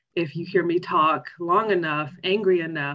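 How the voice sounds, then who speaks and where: With an American accent, a woman speaks at a very deep, low pitch with ordinary pitch variation. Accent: Southern drawl, comes out when emotional. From US South, Arkansas. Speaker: nonprofit association president. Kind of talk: interview. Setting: video call.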